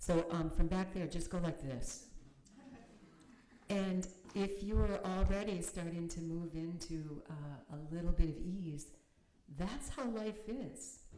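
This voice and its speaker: Speaking at a very slow pace with long, frequent pauses, a woman with an American accent has a fairly low pitch, ordinary pitch variation and big swings in loudness, with audible room echo. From United States. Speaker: minister and meditation teacher. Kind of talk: sermon; guided meditation. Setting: chapel with audience, streamed on video call. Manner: halting. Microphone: too quiet for online listeners.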